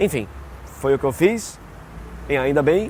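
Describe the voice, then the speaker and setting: A man talking at a fairly quick pace. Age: 40s. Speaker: voice actor. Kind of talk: interview answer.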